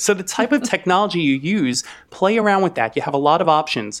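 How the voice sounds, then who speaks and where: A normal speaking voice carries lively intonation throughout. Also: man. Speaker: speech language pathologist. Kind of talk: interview. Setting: video call with microphone.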